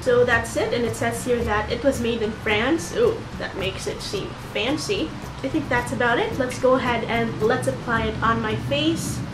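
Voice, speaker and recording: With music in the background and audible room echo, a woman talks at a moderate pace. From Philippines, Cebu. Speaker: beauty vlogger. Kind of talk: product review tutorial.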